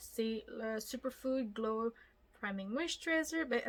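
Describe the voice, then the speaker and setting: A woman with a Quebec accent and a high pitch talks at a very slow pace with lively intonation. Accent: Québécois French. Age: 20s. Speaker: beauty youtuber. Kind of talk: makeup tutorial. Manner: casual, chatty.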